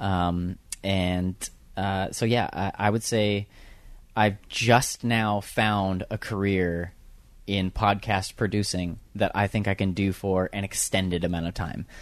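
Someone with an American accent speaks very slowly in a monotone with flat intonation against a quiet background. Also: man, fairly low pitch for a man. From US, mixed (Southern California, Detroit, Houston, Louisiana). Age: 30s. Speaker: podcast producer. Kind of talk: interview conversation. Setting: office waiting room. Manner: hesitant, many fillers.

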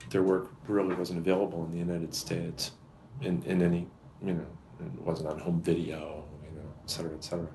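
With music in the background, a man with an American accent talks very fast in a very deep, low voice and fairly even intonation. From Massachusetts, US. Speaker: film critic and filmmaker. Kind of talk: interview.

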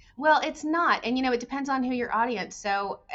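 Lively intonation marks a woman's moderately paced talk in an ordinary speaking voice. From Arizona. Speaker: tourism organization executive. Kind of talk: podcast interview.

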